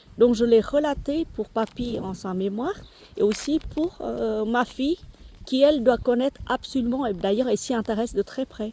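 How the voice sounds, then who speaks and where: With a Vietnamese accent, a woman talks at a moderate pace in a high pitch with ordinary pitch variation. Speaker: lifestyle vlogger. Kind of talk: casual vlog chat. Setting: outdoors in garden. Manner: halting, many fillers.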